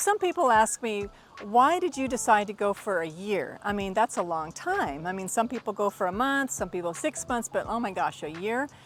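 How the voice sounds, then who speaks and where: A woman of medium pitch with an American accent speaks in an enthusiastic tone with very wide pitch swings and hardly any pauses. Her pace is moderate, with noticeable background noise behind her. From Texas, United States. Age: 50s. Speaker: retired veteran, language student. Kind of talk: testimonial talk to camera.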